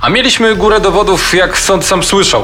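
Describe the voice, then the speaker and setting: Noticeable background noise runs under the recording. A man talks over it at a moderate pace. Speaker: co-narrator voicing characters. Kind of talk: true-crime narration with dramatized quoted speech.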